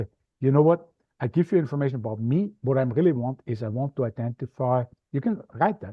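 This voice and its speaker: With an Austrian accent, a man talks very fast at a medium pitch, his intonation lively and his voice somewhat breathy. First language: German. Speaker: media expert, podcast guesting coach. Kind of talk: interview. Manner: animated.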